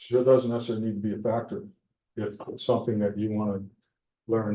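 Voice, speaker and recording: This man's voice has a dark, mellow tone. He speaks at a very fast pace. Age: 70s. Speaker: beekeeper. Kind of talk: club meeting talk. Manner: halting.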